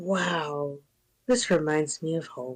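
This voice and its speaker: A woman puts on a character voice. Her pitch is very deep and low. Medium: actual play.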